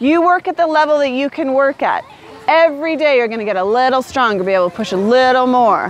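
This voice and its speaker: The tone is upbeat and animated at a moderate pace. The sound is dry with no echo and has light background noise. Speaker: fitness instructor. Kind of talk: workout class instruction with live coaching cues. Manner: upbeat, animated, motivating. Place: open country.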